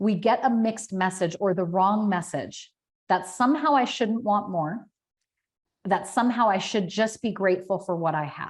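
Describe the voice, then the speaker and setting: A woman's somewhat breathy, animated voice with ordinary pitch variation. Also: medium pitch for a woman. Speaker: business coach. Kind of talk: webinar presentation. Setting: online webinar. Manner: fast.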